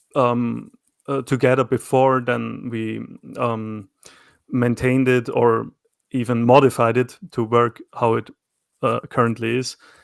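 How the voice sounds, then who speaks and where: In an Austrian accent, a man speaks at a medium pitch and a fairly slow pace, with long, frequent pauses and monotone, flat intonation. The sound is dry and close with no echo. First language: German. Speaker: self-employed knifemaker. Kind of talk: casual interview conversation. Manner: hesitant, many fillers and repetitions.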